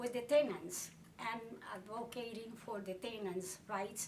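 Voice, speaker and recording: Over noticeable background noise and audible room echo, a woman with a fairly high pitch speaks at a moderate pace with ordinary pitch variation. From Puerto Rico. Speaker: tenant rights activist. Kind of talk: life story interview.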